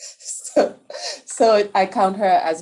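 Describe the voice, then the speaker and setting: A woman speaks with a Caribbean accent. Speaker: infectious disease researcher. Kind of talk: panel discussion.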